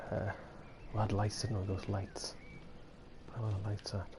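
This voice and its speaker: Noticeable background noise sits behind a man whose fairly low voice stays monotone and flat. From Britain, a cold northern area. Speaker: gaming streamer. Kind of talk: live gameplay commentary. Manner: fast; rambling, casual.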